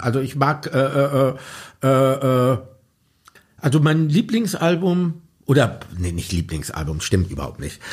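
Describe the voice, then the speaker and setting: The voice is somewhat breathy, with very wide pitch swings. Delivery is fairly slow, with long, frequent pauses. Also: man. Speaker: pop musician and author. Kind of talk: interview. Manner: halting, many fillers.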